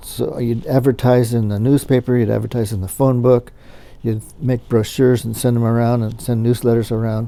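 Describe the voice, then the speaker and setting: A man with an American accent and a medium pitch talks fairly quickly in a dark, mellow tone with monotone, flat intonation. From US West Coast, Southern California. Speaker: business owner, photo lab owner. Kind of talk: interview. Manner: halting, with fillers and repeated words.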